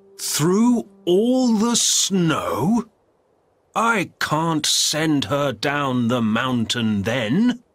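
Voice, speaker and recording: A put-on character voice at a very slow pace, with very wide pitch swings and very even loudness. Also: man, fairly high pitch for a man. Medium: read story.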